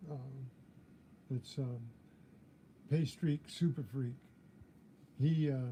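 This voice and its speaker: Very slow with long, frequent pauses, the voice is somewhat breathy and has a dark, mellow tone and fairly even intonation. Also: man, fairly high pitch for a man. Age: 70s. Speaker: metal detecting youtuber. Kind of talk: live stream chat. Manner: halting.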